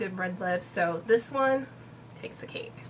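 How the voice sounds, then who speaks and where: A woman talks at a moderate pace, her pitch shifting in an ordinary way, while noticeable background noise plays behind her. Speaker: beauty vlogger. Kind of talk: product review vlog. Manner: casual, many fillers.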